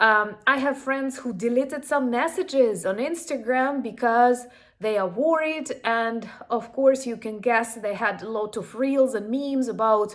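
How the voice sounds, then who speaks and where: A woman with a Ukrainian accent, high-pitched and at a fairly slow pace, in a very clean recording with a silent background. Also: ordinary pitch variation. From Ukraine. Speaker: YouTuber. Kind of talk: casual commentary.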